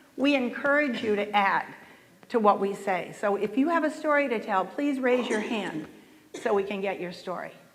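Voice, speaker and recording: In an American accent, a woman with a fairly high pitch speaks at a moderate pace with lively intonation, amid audible room echo and noticeable background noise. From US South. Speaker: panel moderator. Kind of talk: panel moderation.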